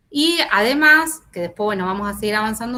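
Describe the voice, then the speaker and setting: Speaking with very wide pitch swings, a woman has a fairly high pitch. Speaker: university lecturer. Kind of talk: online lecture. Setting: video call with screen sharing. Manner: halting, many fillers.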